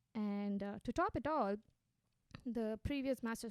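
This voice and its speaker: Speaking in an Indian accent, a woman keeps a moderate pace with ordinary pitch variation. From India, Gujarat (Ahmedabad). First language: Hindi. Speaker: social entrepreneur. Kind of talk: interview.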